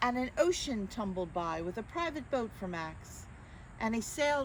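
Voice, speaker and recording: A woman speaks in an unremarkable speaking voice at medium pitch. She talks at a fairly slow pace. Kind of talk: children's story reading. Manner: warm, friendly.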